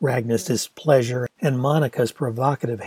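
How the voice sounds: What we hear is a natural reading voice. Nothing else accompanies it.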